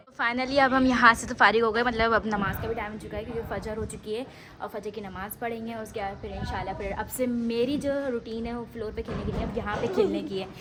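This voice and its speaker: A woman's fairly high voice at a fairly quick pace with hardly any pauses, fairly even intonation and noticeable background noise. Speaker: vlogger. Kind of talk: casual vlog chat.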